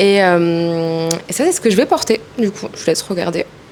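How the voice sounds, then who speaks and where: With clear background noise behind her, a woman keeps to a medium tempo. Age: 20s. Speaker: model and singer. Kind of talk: casual chat.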